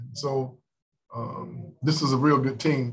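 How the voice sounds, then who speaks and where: A man's somewhat breathy voice in monotone, flat intonation. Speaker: basketball coach. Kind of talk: press conference answer. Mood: calm, reflective. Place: meeting room. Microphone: video call.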